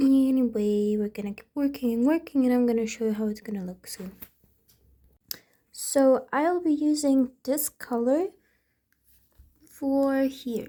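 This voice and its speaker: A woman with a non-native accent, fairly slow, with long and frequent pauses, ordinary pitch variation and big swings in loudness. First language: not English. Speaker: amateur painter. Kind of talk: tutorial. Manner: hesitant, many fillers.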